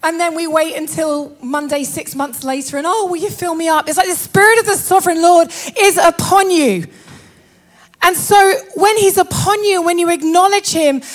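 This woman's voice sits at an extremely high pitch, with ordinary pitch variation and an animated tone. She speaks at a moderate pace over noticeable background noise. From northern England. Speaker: preacher. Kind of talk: sermon.

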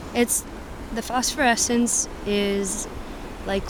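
The speech comes at a fairly slow pace. It carries a West Coast accent. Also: woman. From US Pacific Northwest, Washington State. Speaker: musician and visual artist. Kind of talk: casual interview. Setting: outdoors on a beach.

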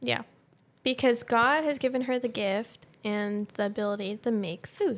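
A woman is speaking in a normal speaking voice. Her pitch variation is ordinary. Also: fairly high pitch for a woman, fairly slow pace. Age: young. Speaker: podcast co-host. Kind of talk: casual chat.

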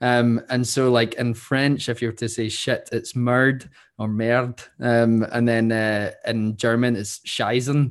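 The recording is very clean, with a silent background. A man at medium pitch speaks at a very slow pace with hardly any pauses and monotone, flat intonation. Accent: Scottish. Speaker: podcast co-host, theology student. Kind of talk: casual chat.

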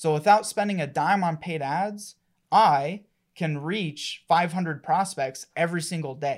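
Very cleanly recorded against a silent background, a man speaks with high pitch. He goes at a fairly slow pace with ordinary pitch variation. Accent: American. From Colorado. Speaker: marketing agency partner. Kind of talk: casual interview.

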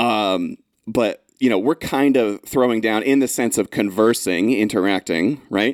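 This man talks fairly slowly at a medium pitch, with ordinary variation in his intonation. His loudness stays very even, and the sound is dry and close with no echo. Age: 30s. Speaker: English teacher and podcast host. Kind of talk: casual chat. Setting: studio.

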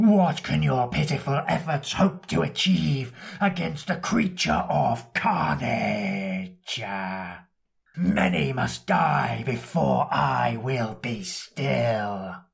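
A man puts on a raspy character voice at a medium pitch, speaking very slowly. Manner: menacing, booming.

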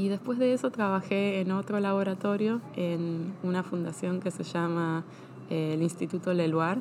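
A woman's plain, everyday voice, medium in pitch, at a fairly slow pace with fairly even intonation and very even loudness. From Argentina (Buenos Aires and Bahía Blanca). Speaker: scientist, lab head. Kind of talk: interview. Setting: early morning recording.

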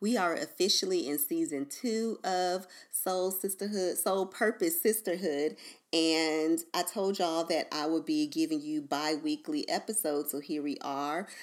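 In an ordinary speaking voice with an American accent, a woman speaks at a fairly slow pace with fairly low pitch and lively intonation. The recording is very clean, with a silent background. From US East Coast. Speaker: podcast host and spiritual advisor. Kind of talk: casual solo podcast monologue.

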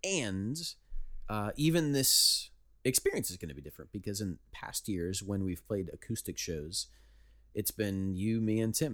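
A man with a normal speaking voice, fairly low pitch, lively intonation and a moderate pace. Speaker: band member and podcast host. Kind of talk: casual chat.

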